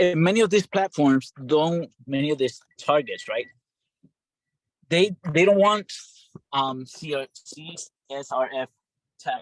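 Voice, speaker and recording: Speaking at a fairly slow pace with long, frequent pauses, a man with a non-native accent uses a fairly high pitch, ordinary pitch variation and big swings in loudness, in a dry, close sound with no echo. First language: not English. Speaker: bootcamp participant. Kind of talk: Q&A. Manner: halting.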